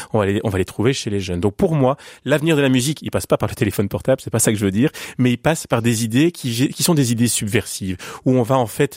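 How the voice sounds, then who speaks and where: Very fast speech from a man with lively intonation, in a very clean recording with a silent background. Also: dry, close sound with no echo. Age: 40s. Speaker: pianist and music educator. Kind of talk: radio interview. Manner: halting, frequent repetitions.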